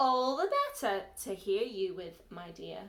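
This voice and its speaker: Delivered at a moderate pace, this put-on character voice comes out as a growl. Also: woman, medium pitch for a woman. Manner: growling.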